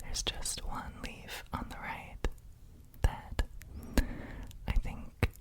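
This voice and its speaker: A whisper in a soothing tone at a very slow pace, with noticeable background noise. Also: man. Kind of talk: ASMR roleplay whisper, caring for a house plant. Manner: whispered, soft-spoken, slow, soothing.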